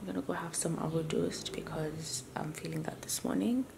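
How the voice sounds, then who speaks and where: Whispering from a woman against noticeable background noise. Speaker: vlogger. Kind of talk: casual vlog narration.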